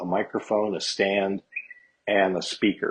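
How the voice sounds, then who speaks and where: A man's fairly low-pitched voice. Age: 60s. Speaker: guest musician, gigging guitarist. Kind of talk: casual interview chat.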